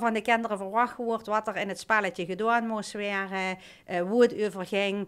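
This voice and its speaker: On a very clean recording with a silent background, a woman with a plain, everyday voice speaks at a moderate pace and medium pitch. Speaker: childcare location manager. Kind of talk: podcast interview answer.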